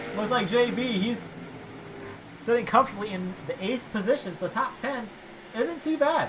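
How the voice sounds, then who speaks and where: Speech at a moderate pace comes with long, frequent pauses over noticeable background noise. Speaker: sim racing commentator. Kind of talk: live commentary. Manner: momentary stuttering.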